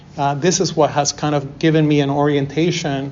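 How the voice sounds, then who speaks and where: Monotone, flat delivery from a man with a fairly high pitch, at a moderate pace, with audible room echo. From Peru, moved to Toronto as a child. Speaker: artist. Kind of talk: lecture. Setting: university class.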